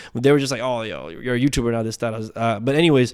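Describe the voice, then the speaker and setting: In a very clean recording with a silent background, a man speaks with a Canadian accent and ordinary pitch variation. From Nepal (Bhaktapur), raised in Toronto, Canada. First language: Nepali. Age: 20s. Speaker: entrepreneur. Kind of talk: casual chat.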